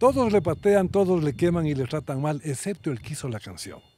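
Over faint background music, a man with a fairly high pitch is heard in a dry recording with no echo. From Ecuador, Quito; Ecuador. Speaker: doctor; podcast guest. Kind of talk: casual conversation. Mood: warm, joking. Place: open country. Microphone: studio mic.

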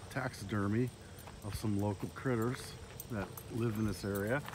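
Loud background noise fills the recording. The speech itself comes at a moderate pace. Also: dry sound with no echo. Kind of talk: casual vlog chat. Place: open country. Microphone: phone near.

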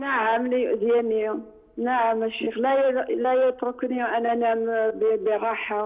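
A woman's high pitch with a non-native accent, monotone, flat intonation, very even loudness, a very slow pace and hardly any pauses, over noticeable background noise. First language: not Arabic (speaking Arabic). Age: 70s. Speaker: caller. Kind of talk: phone-in question. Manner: halting.

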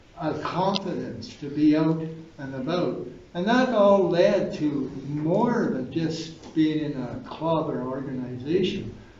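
Against light background noise and audible room echo, a man with a fairly high voice speaks fairly slowly, his pitch varying in an ordinary way. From Ottawa Valley, Ontario, Canada; Ontario, Canada. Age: 80s+. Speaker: painter. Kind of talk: speech at an event. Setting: gallery reception with audience. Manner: halting. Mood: warm, grateful. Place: hall. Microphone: camera far.

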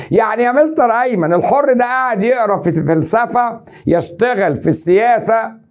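In an Egyptian accent, the speaker uses an animated tone over a quiet background. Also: man. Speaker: teacher. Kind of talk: exam review lecture. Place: studio. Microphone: lapel.

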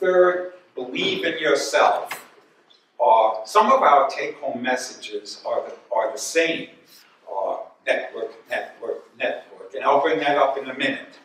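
A man talks at a fairly slow pace, his loudness swinging widely. The room echoes audibly and there is light background noise. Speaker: guest lecturer. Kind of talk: lecture. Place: hall.

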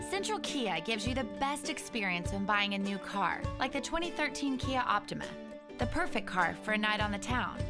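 A woman's fairly quick speech at very even loudness, with music in the background. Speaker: actress and host. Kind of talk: TV commercial read.

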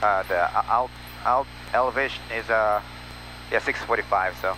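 Someone with a non-native accent speaks at a moderate pace, the sound dry with no echo and light background noise. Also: man. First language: not English. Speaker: private pilot. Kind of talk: casual cockpit talk with passenger. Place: plane. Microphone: headset.

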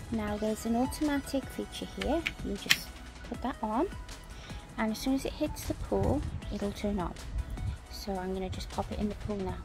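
With clear music behind her, a woman speaks at a moderate pace, leaving long, frequent pauses. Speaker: home pool owner reviewing a gadget. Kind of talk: casual product review narration. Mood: cheerful, pleased. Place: garden. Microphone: phone near.

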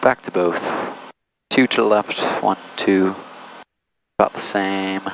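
A man speaks in a dry, echo-free recording with noticeable background noise. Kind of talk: casual vlog commentary with checklist callouts. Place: plane. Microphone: headset.

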